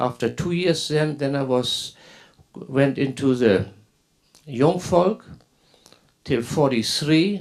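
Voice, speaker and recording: Speaking very slowly with a German accent, a man uses a fairly high pitch. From northern Germany, coast. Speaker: former Hitler Youth member telling his story. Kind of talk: personal testimony. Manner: halting, with repetitions.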